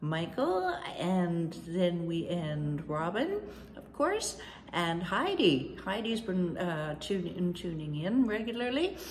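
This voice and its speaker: A woman speaks very slowly with lively intonation over light background noise. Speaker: decluttering coach. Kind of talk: casual vlog chat. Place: home room.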